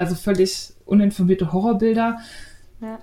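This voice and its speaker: Noticeable background noise runs under the voice. The intonation is fairly even. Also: woman. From Berlin. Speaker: podcast host, knitting and sewing blogger. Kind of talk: casual chat.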